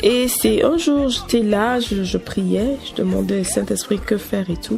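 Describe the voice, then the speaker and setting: A fairly slow-paced woman's voice amid noticeable background noise. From Togo, Kpalimé. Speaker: gospel singer. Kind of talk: interview.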